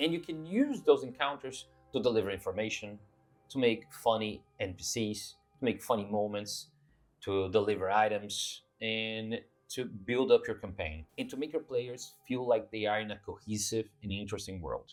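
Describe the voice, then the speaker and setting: A man speaks at a moderate pace with a non-native accent. His pitch sits in the middle range and varies in an ordinary way. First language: not English. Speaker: tabletop RPG YouTuber. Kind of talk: casual monologue to camera. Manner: hesitant, with filler words.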